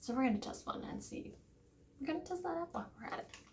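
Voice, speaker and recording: Amid audible room echo, a woman speaks at a very fast pace with very wide pitch swings. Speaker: vlogger trying to conceive. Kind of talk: casual vlog talking to camera. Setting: at home, early morning. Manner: quiet, hushed.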